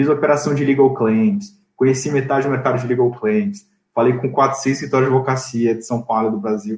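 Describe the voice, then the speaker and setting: A man's dark, mellow, somewhat breathy voice at a medium pitch, with lively intonation. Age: 20s. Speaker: M&A advisor. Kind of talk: interview. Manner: casual.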